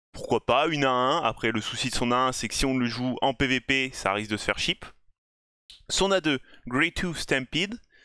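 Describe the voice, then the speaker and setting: With an English accent and a bright, sharp tone, the speaker goes at a fairly slow pace with ordinary pitch variation and long, frequent pauses, in a dry, close sound with no echo against a quiet background. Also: man, medium pitch for a man. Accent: self-described bad English. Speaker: gaming YouTuber. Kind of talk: game review commentary. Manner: casual, conversational.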